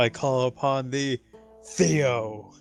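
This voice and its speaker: A put-on character voice with lively intonation comes through with a dry, close sound and no echo, faint music playing in the background. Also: man, medium pitch for a man. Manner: quiet, restrained.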